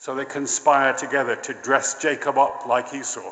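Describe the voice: Someone does plain reading aloud here.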